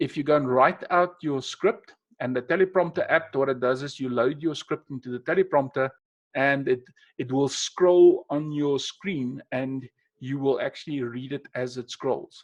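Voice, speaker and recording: A man speaks with a South African accent at a moderate pace, his pitch fairly high with ordinary variation. The background is quiet. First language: Afrikaans. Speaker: webinar presenter, NLP trainer. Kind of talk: webinar presentation. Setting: online webinar. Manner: unscripted, conversational with hesitations.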